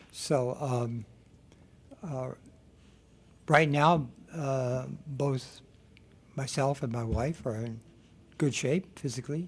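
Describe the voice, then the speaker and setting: Somewhat breathy, a man speaks at a very slow pace in a medium pitch with ordinary pitch variation and long, frequent pauses. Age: 70s. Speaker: exercise instructor for seniors. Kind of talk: radio interview.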